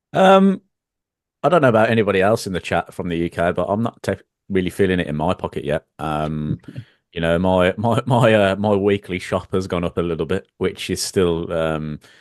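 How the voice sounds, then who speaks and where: Over a quiet background, a man with a British accent speaks at a moderate pace. His very deep, low pitch shows ordinary variation. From United Kingdom. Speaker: trading live stream co-host. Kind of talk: live stream market discussion.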